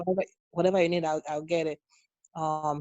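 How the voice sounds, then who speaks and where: A woman with a Nigerian accent speaks at a moderate pace in a fairly low voice, her intonation monotone and flat. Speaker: nurse. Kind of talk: interview. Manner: halting, many repeated words.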